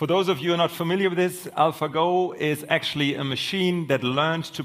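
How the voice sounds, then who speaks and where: This man has a normal speaking voice. His pitch is fairly high. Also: very clean recording, silent background. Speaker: panel moderator. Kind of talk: moderated panel discussion. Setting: conference stage with audience.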